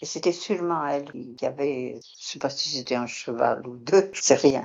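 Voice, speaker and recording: Speaking with a very deep, low pitch, a woman talks at a moderate pace. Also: ordinary pitch variation, big swings in loudness. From Béarn, southwest France. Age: 80s+. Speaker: retired concierge. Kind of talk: interview testimony. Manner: halting; calm.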